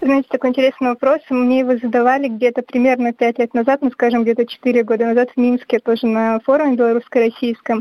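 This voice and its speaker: A woman's high-pitched, dark and mellow voice, very fast with hardly any pauses, in a flat monotone at very even loudness, with a dry, close sound and no echo. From Belarus, Brest region (Baranovichi). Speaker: graduate student and documentary filmmaker. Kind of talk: radio interview.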